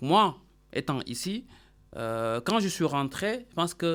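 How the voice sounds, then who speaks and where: Captured in a very clean recording with a silent background, a man talks at a high pitch. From Senegal, Dakar. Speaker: accountant and business consultant. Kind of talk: radio interview.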